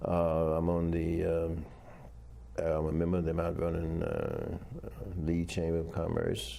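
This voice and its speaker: With a very deep, low pitch and a dark, mellow tone, a man speaks at a fairly slow pace in a monotone, flat way, at very even loudness, with long, frequent pauses and audible room echo. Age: 80s+. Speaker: retired army officer and professor. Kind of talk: interview. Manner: halting.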